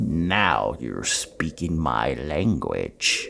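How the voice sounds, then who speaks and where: A man growls in a put-on character voice at a very deep, low pitch. Background noise is clear. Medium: read story. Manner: gloating, grandiose.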